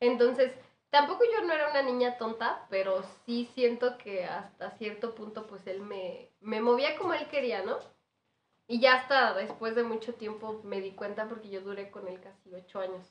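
A woman talks at a moderate pace with a Mexican accent. Her loudness swings widely. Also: fairly high pitch for a woman, ordinary pitch variation. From Michoacán, Mexico. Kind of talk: casual chat.

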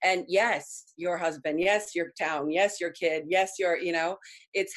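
Here a woman speaks with an American accent and a fairly low pitch. Her intonation is fairly even and her pace fairly slow. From Argentina, then California from age six. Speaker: recovery advocate and actress. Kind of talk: interview.

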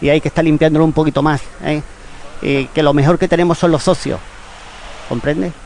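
A man with a fairly high pitch talks at a fairly quick pace in an animated tone, his loudness very even, with long, frequent pauses and noticeable background noise. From Spain, Málaga. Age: 60s. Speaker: football club member, retired photographer. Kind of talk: radio interview.

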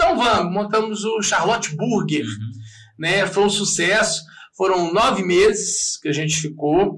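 A man's bright, sharp voice with high pitch and ordinary pitch variation, in audible room echo. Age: 40s. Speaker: radio host and comedian. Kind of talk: casual chat.

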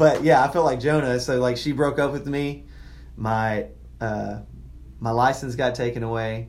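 A man with a Southern US accent speaks at a moderate pace and a medium pitch, his intonation fairly even.

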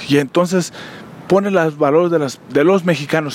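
A man's fairly even intonation comes through with noticeable background noise around him. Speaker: podcast host. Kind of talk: solo monologue commentary. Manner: halting, many fillers.

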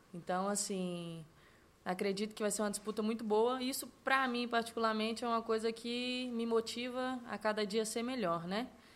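Her pitch is fairly high, with fairly even intonation. She keeps a moderate pace. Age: 20s. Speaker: footballer. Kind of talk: interview. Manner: halting.

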